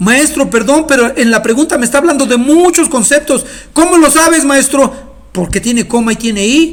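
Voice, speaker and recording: This man talks at a fairly quick pace in an animated tone, his pitch extremely high. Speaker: teacher. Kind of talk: lecture. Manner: fast.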